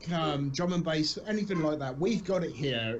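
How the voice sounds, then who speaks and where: A man with a British accent and a fairly high pitch speaks at a moderate pace over noticeable background noise. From southern England, Southampton. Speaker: streamer. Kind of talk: casual chat. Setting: live stream.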